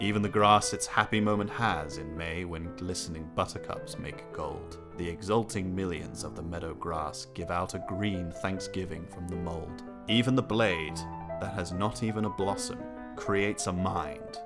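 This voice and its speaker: Music plays in the background as a man speaks at a moderate pace. His voice is very deep and low, with lively intonation. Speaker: filmmaker. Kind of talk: poetry reading.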